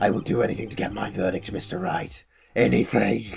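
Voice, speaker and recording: Putting on a raspy, menacing character voice, a man speaks at a fairly quick pace with a fairly low pitch. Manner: menacing, desperate for a verdict.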